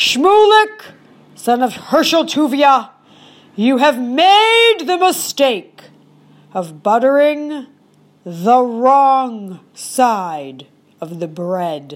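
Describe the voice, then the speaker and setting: Speaking very slowly in a put-on character voice, a woman uses a high pitch with very wide pitch swings and long, frequent pauses. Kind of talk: mock-solemn folktale decree. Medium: read story. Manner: solemn, matter-of-fact, pronouncing.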